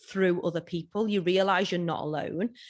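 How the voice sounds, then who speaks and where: A woman's fairly low voice with a British accent and ordinary pitch variation, on a very clean recording with a silent background. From UK. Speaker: self-love coach and speaker. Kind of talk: interview conversation. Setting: Instagram live video.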